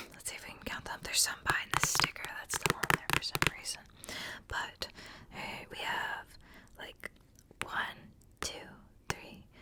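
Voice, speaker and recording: A woman whispering at a fairly slow pace, with long, frequent pauses, big swings in loudness and noticeable background noise. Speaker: ASMR creator. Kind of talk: ASMR whispered book reading and rambling. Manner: whispered, soft-spoken.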